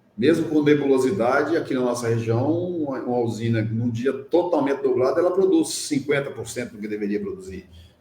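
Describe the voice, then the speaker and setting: Over noticeable background noise, a man with a fairly high pitch speaks at a fairly quick pace with lively intonation and hardly any pauses. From Minas Gerais, Brazil. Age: 60s. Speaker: social entrepreneur in solar energy. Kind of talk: interview conversation.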